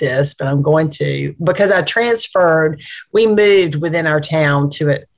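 A woman speaks at a fairly slow pace with an Alabama accent and a fairly low pitch. Her intonation is lively. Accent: Southern US (Alabama). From US South (Anniston, East Alabama). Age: 50s. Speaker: nonprofit executive. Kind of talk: interview.

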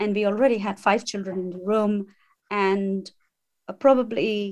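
A woman speaks in an ordinary speaking voice. Her pitch is medium. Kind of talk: interview.

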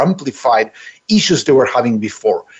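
Moving at a fairly quick pace, a man's voice makes very wide pitch swings. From Italy. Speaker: culture design consultant and author. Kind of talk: interview.

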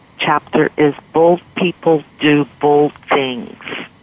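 A woman speaks at a very slow pace in a very deep, low voice, with noticeable background noise behind her. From San Francisco Bay Area. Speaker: style consultant and former model. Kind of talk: radio interview.

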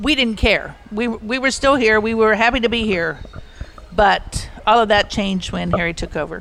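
Her voice is a plain, everyday voice, fairly high in pitch, as the woman speaks at a moderate pace. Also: ordinary pitch variation. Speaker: long-time resort guest. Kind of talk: reminiscing storytelling.

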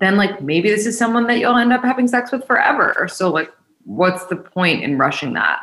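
A woman with an unremarkable speaking voice talks at a moderate pace and a fairly high pitch. Her intonation is lively while her loudness stays very even. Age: 20s. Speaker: dating podcast host and matchmaker. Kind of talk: casual interview.

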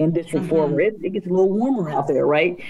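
Noticeable background noise behind lively, varied intonation. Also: woman. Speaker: city equity officer. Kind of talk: casual interview conversation.

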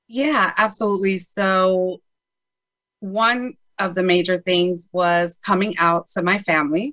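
Speaking with an American accent, a woman at a medium pitch uses ordinary pitch variation, a bright, sharp tone, very even loudness and a fairly slow pace. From Chicago, north side. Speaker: life coach and author. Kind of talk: interview.

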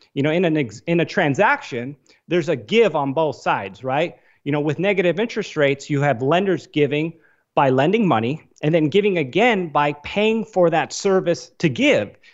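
In a plain, everyday voice, a man with a fairly high pitch talks at a moderate pace with lively intonation. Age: 30s. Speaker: investor and financial analyst. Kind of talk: interview.

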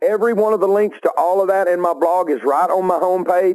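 A man talks with a Southern US accent. His pitch is high and his pace fairly quick. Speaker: outdoor TV show host. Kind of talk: casual banter.

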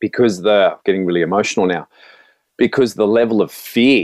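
At a moderate pace, a man with an Australian accent speaks at a fairly low pitch with ordinary pitch variation. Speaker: motivational speaker. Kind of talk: testimony.

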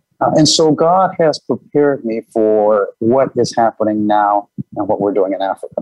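With music in the background, a man speaks at a moderate pace in a medium-pitched voice with lively intonation. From Michigan, US (Detroit suburbs). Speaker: business executive. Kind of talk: interview.

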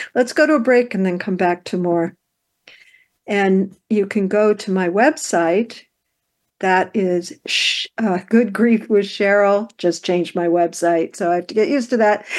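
A woman with an ordinary speaking voice talks at a fairly slow pace and a medium pitch, with ordinary pitch variation against a quiet background. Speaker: radio host. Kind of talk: radio interview conversation.

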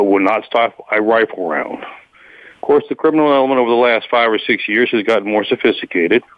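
Lively intonation in an American accent, over noticeable background noise. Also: man. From Guadalajara, Mexico (returned to US as teen). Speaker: nonprofit founder, police advocate. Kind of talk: interview.

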